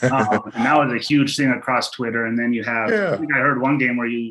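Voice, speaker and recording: A man speaks in a normal speaking voice at medium pitch with ordinary pitch variation. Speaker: podcast host. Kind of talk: interview questions.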